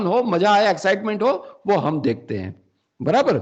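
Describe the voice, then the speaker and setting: A high-pitched man's voice with lively intonation. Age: 60s. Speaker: faculty development trainer. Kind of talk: lecture. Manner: halting, frequent self-corrections.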